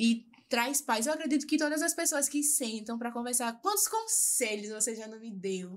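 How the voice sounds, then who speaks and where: A high-pitched woman's voice, lively in intonation, with big swings in loudness. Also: moderate pace. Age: 20s. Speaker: lawyer. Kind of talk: interview testimony. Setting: live podcast.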